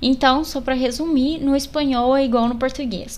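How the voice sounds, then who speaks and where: This is a woman speaking. Her voice is high-pitched. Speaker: language podcast host. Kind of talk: language tutorial.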